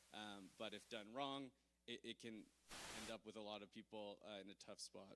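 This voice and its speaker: At a moderate pace, the voice has a bright, sharp tone and fairly even intonation. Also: man. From Canada. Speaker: conference speaker, blockchain security. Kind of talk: conference talk. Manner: hesitant, many fillers.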